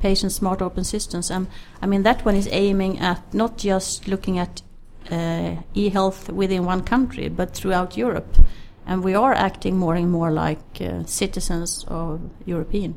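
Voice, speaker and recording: A woman with a Swedish accent talks at a moderate pace and medium pitch, keeping her intonation fairly even. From Sweden. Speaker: healthcare IT expert. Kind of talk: interview.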